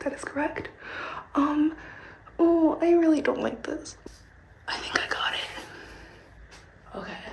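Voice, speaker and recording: A woman's high-pitched voice with an American accent, fairly slow with long, frequent pauses and big swings in loudness, amid audible room echo and noticeable background noise. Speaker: travel vlogger, student. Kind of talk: vlog, casual talk to camera. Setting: outdoors, walking through forest. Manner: animated.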